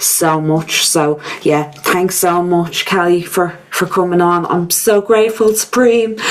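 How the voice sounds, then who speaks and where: A woman with a Dublin accent over noticeable background noise. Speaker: podcast host. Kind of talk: casual chat.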